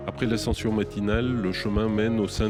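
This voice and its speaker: A man's fairly low voice with music in the background. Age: 50s. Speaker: hiker and documentary narrator. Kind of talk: scripted narration.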